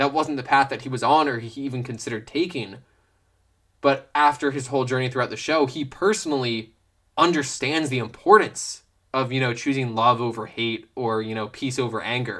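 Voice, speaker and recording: This man's voice sits at a medium pitch with a bright, sharp tone and ordinary pitch variation. He moves at a fairly quick pace on a very clean recording with a silent background. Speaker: youtuber, film commentator. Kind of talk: casual unscripted Q&A rant. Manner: fast; halting, stammering.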